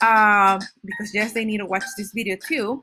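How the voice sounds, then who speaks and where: This woman's voice has a bright, sharp tone. She speaks at a moderate pace. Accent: Spanish. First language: Spanish. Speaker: Spanish teacher. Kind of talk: recorded class syllabus presentation. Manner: casual, with many fillers and restarts.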